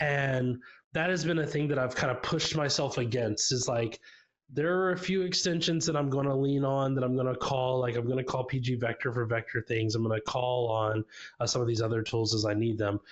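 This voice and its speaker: A man with an American accent, medium pitch, ordinary pitch variation, very even loudness, and a fairly quick pace. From US South, Tennessee. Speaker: software developer, conference speaker. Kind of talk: tech talk presentation. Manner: casual, many fillers.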